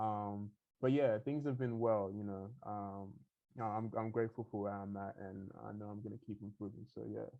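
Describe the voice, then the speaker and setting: A man speaks in an Australian accent with a relaxed tone. His pitch is fairly low and his intonation fairly even. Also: moderate pace. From Sydney, Australia. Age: 20s. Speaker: hip hop artist. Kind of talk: interview. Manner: relaxed, many fillers.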